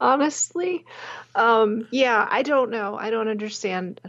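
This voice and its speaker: At a fairly slow pace, a woman speaks at a fairly high pitch, her voice making very wide pitch swings. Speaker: podcast co-host. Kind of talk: casual chat. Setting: remote call between hosts.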